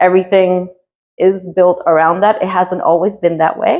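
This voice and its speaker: The speaker is a woman with a medium pitch. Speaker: artist and museum teaching artist. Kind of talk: casual interview. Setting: home studio.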